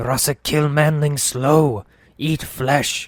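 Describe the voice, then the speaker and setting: A man performs a put-on character voice, growling at a fairly high pitch. He speaks at a very slow pace on a very clean recording with a silent background. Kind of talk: broken, primitive speech. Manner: snarling, menacing.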